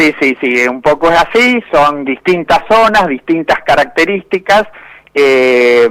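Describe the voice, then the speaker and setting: At a very slow pace, a man speaks with a fairly high pitch. His intonation is lively. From Argentina, inland (Buenos Aires, Córdoba, Santa Fe provinces). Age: 60s. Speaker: cheese industry manager, agronomist. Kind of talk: interview.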